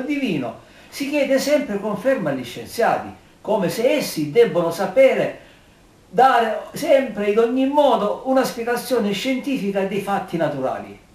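A man speaks at a moderate pace, with room echo clearly audible. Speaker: amateur commentator. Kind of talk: personal opinion monologue. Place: home room. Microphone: camera far.

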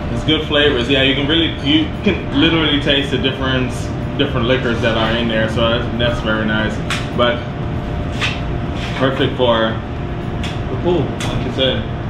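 A man speaks at a moderate pace with ordinary pitch variation, taking long, frequent pauses. Loud background noise runs beneath him. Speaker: cocktail show host. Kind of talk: casual interview chat. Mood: relaxed, amused. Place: bar.

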